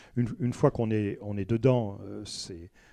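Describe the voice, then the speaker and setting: A man speaks at a moderate pace with a dark, mellow tone. The background is quiet, and the sound is dry and close with no echo. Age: 60s. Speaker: self-taught botanist and local association member. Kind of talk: radio interview. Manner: hesitant, many filler words.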